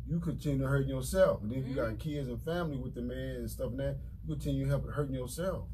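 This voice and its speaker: Light background noise accompanies a man speaking at a very fast pace. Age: 40s. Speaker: radio show co-host. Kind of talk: casual radio talk show chat. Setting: radio studio. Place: studio. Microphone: studio mic.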